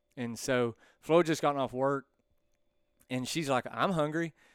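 Someone speaks in a Texan accent at a moderate pace with fairly even intonation. The recording is very clean with a silent background, and the sound is dry and close with no echo. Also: man, long, frequent pauses. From East Texas. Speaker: land surveyor and shop owner. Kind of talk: casual chat. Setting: bar.

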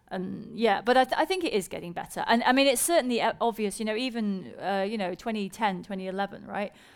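A woman with a British accent talks at a very fast pace with hardly any pauses, her fairly high voice showing ordinary pitch variation against noticeable background noise. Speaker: science presenter and co-host. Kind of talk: live stage conversation with audience. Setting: stage with audience.

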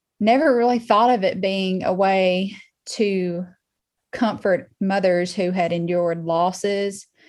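A woman in a Southern US accent at a very slow pace, with long, frequent pauses and fairly even intonation. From Alabama (Muscle Shoals). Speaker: artist and interior designer. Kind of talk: casual interview.

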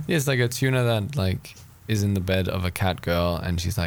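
The voice heard here is a natural reading voice.

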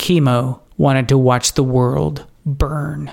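A man's dramatic delivery in a dark, mellow tone. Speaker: storyteller and podcast host. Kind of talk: adventure story narration, dark and suspenseful, read aloud as a bedtime-style tale. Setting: studio recording, podcast. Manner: dramatic, measured storyteller pacing that builds suspense.

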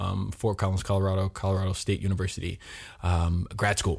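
A man with an American accent and a very deep, low pitch speaks at a fairly quick pace with fairly even intonation. His somewhat breathy voice sits on a very clean recording with a silent background. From US, Miami, Florida. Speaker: actor. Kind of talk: interview.

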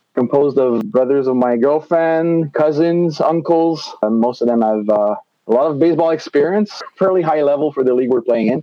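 A man with a Quebec accent talks at a fairly quick pace with lively intonation. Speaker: baseball umpire. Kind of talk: casual interview.

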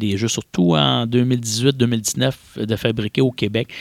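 Here a man speaks with a fairly low pitch. Vocal fry runs through his voice. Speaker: board game publisher. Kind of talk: interview.

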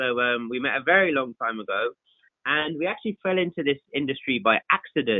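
The speaker has a London accent. The intonation is lively. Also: man. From West London (Southall), England. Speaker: photographer. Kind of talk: podcast interview. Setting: podcast recording.

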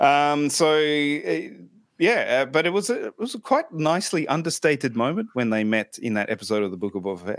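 On a very clean recording with a silent background, a man talks at a fairly quick pace. His pitch is fairly high, with very wide swings. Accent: Australian. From Australia. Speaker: podcast host. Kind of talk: casual interview chat. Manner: hesitant, many fillers.

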